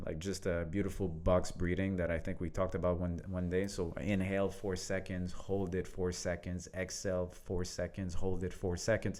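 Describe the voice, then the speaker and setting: With a French accent, a man speaks at a moderate pace. His very deep, low voice has a dark, mellow tone. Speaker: leadership coach. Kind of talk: casual conversation.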